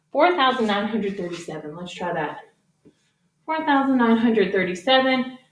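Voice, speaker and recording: In an animated tone, a woman speaks with very wide pitch swings. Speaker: elementary math teacher. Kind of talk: tutorial. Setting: garage. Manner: fast.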